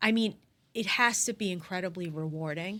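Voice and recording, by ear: A woman talks with a bright, sharp tone at a fairly low pitch. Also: ordinary pitch variation, moderate pace.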